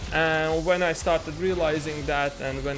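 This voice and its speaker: Music plays in the background as a man talks. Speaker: video game streamer. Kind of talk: casual talk while commentating a game replay. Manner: rambling, musing.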